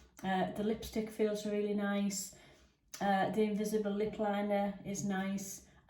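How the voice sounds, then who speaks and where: A woman with an English accent speaks at a medium pitch, fairly slowly, in a monotone, flat intonation. The recording has noticeable background noise and audible room echo. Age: 60s. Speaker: makeup reviewer. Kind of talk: product review. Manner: casual with many fillers.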